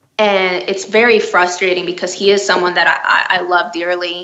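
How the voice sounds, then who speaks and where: Over noticeable background noise and audible room echo, a woman speaks at a moderate pace with a medium pitch and monotone, flat intonation. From Miami, Florida. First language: Spanish. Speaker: children's book author. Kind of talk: interview. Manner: halting, many fillers.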